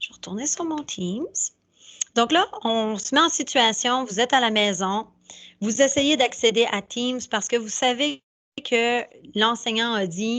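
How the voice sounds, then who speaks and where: The speech has long, frequent pauses. The background is quiet. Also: woman, fairly high pitch for a woman, ordinary pitch variation, fairly slow pace. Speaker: school staff presenting to parents. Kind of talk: tutorial.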